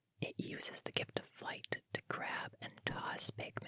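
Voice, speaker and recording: Whispering at a fairly slow pace. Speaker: gaming content creator. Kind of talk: whispered ASMR-style video game summary narration; casual friendly address to the audience. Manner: whispered, soft.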